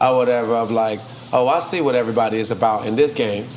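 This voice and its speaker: Noticeable background noise and audible room echo fill the recording. Through them, a man speaks at a fairly quick pace. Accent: Atlanta. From Trinidad and Tobago, raised in Atlanta. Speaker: rapper. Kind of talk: casual interview.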